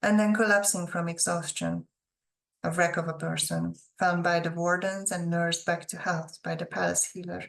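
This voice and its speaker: Speaking with a non-native accent, a woman keeps her delivery at a moderate pace. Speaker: author. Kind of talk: fiction reading.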